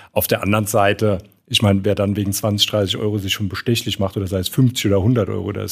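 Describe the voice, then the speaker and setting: The recording is very clean, with a silent background. A man with a Saarland accent talks at a fairly quick pace, with fairly low pitch and fairly even intonation. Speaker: fund industry professional, podcast co-host. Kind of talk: casual chat.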